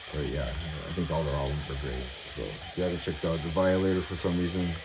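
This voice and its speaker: Amid noticeable background noise and audible room echo, a man with a very deep, low pitch talks at a very fast pace. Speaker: metal music collector YouTuber. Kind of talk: casual collection showcase. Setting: at home, music playing in background. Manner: mumbling; hesitant, many fillers.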